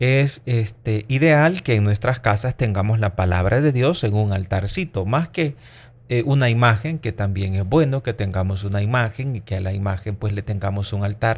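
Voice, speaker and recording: A man speaks in a fairly low voice, somewhat breathy, with ordinary pitch variation, on a very clean recording with a silent background. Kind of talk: catechism teaching. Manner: slow.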